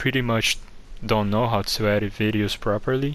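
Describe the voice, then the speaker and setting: This man has a Brazilian accent. His intonation is fairly even. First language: Portuguese. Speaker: gaming guide creator. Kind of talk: casual game commentary. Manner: occasional stutters.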